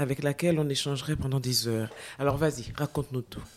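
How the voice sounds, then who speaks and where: Over a silent background in a very clean recording, a woman speaks with a very deep, low pitch, a dark, mellow tone and fairly even intonation. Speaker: podcast host. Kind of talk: interview intro and questions. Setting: studio. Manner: hesitant, many fillers.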